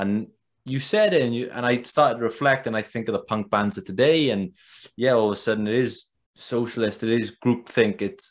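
A Welsh accent at a fairly quick pace, with ordinary pitch variation and a quiet background. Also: man. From Wales. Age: 20s. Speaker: podcast host. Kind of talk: interview. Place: home room. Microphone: earbuds.

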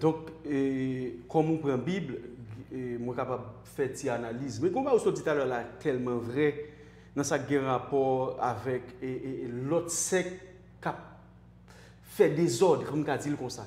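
Fairly slow speech with long, frequent pauses, a Haitian accent, ordinary pitch variation and audible room echo. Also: man, fairly high pitch for a man. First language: Haitian Creole (speaking French). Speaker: online show host; talk show guest or host. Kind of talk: interview. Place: studio. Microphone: lapel.

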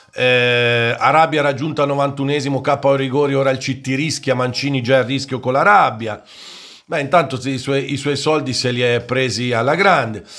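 At a moderate pace, a man speaks with a quiet background. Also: fairly even intonation. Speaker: football YouTuber and commentator. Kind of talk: angry rant against the media, opinionated monologue. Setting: solo video monologue. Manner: fiery, indignant, emphatic, lecturing and sarcastic. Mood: indignant rant. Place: home room. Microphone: studio mic.

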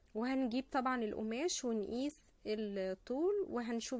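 A woman speaks at a very slow pace, and the sound is dry with no echo. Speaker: craft channel host. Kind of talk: tutorial. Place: home room. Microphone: phone near.

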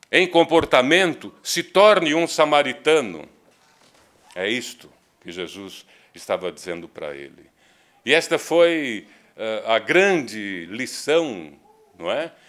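A man with a fairly high pitch and vocal fry speaks at a very slow pace, with very wide pitch swings, big swings in loudness, and long, frequent pauses. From Brazil. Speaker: spiritist lecturer. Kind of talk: lecture. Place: hall.

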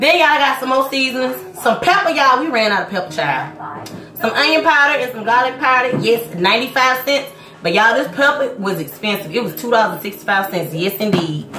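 A woman speaks very fast, with light background noise and audible room echo. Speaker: vlogger mother. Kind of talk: casual vlog chat. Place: kitchen. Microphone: phone near.

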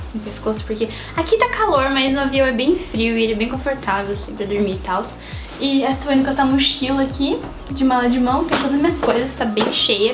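Clear background music beneath a woman's moderately paced speech. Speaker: lifestyle vlogger. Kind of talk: casual vlog chat. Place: home room. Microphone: camera far.

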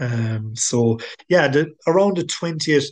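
A man speaks with a Tipperary accent. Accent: Irish (Tipperary). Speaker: angling club member and lake angler. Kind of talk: interview.

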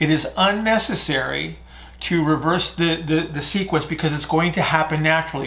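Fairly even intonation accompanies speech at a moderate speed. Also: man. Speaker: fitness or breathing coach. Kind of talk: Q&A explanation, lecture-like. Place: home room.

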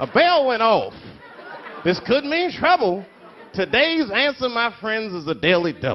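Over crowd noise, a man with an extremely high pitch and very wide pitch swings speaks with long, frequent pauses. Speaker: comedian. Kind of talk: comic poetry performance. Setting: live stage with audience.

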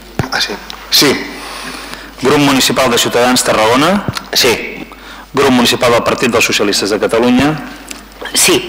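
Light background noise sits under a man's voice. He speaks at a moderate pace with long, frequent pauses. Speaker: council secretary calling votes. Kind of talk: formal roll-call vote reading. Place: hall. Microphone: podium.

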